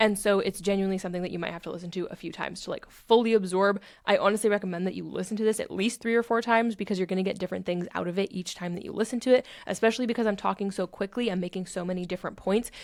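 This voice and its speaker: At a very fast pace, a woman speaks with hardly any pauses. Her pitch sits in the medium range. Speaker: self-help podcast host. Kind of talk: podcast monologue. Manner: animated.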